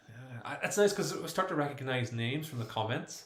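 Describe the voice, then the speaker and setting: There is audible room echo and noticeable background noise as a man speaks at a fairly quick pace. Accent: Irish. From Ireland. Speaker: YouTuber, former Jehovah's Witness. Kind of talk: live stream chat reading comments. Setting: live stream at home. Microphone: laptop microphone, poor audio.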